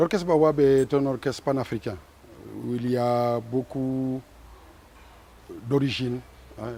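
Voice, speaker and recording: A man speaks with fairly even intonation. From Senegal, Ziguinchor. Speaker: musician. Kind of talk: interview.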